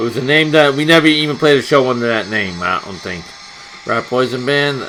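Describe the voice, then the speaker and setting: Against noticeable background noise, a man with an American accent talks at a fairly quick pace with lively intonation and big swings in loudness. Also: medium pitch for a man. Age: 60s. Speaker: punk musician and video blogger. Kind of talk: casual rant to camera.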